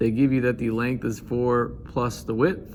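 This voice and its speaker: In a plain, everyday voice, a man speaks at a medium pitch and a fairly slow pace. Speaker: math teacher. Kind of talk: tutorial.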